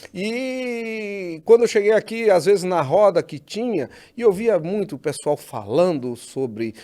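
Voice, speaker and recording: In a northeastern Brazilian accent, a man with a dark, mellow tone speaks at a fairly slow pace with very wide pitch swings, on a very clean recording with a silent background. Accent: northeastern Brazilian, kept. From Northeast Brazil. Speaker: podcast host. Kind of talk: interview.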